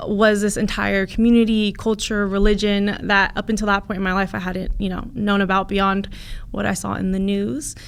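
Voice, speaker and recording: Speaking in a Californian accent, a woman talks at a moderate pace with a medium pitch. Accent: Californian American. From US West Coast, Santa Cruz, California. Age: 20s. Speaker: family lawyer. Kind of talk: interview. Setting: studio.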